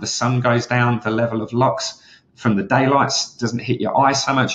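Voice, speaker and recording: A man with a medium pitch speaks at a moderate pace, sounding somewhat breathy. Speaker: health coach. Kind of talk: live webinar training.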